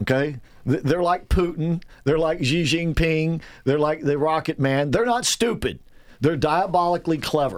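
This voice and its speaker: With a normal speaking voice, a man talks at a moderate pace and a fairly high pitch, with ordinary pitch variation and very even loudness. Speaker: radio talk show host. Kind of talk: talk radio show. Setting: studio.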